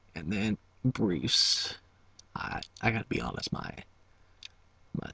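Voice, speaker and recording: A man's bright, sharp tone carries vocal fry, recorded with a dry, close sound and no echo. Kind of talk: ASMR whisper video, casual talk to camera. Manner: chewing gum while talking.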